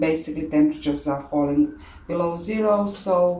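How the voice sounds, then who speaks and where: A fairly low-pitched woman's voice with ordinary pitch variation and audible room echo. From Croatia. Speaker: orchid grower, hobby channel host. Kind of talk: tutorial. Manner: halting, many fillers.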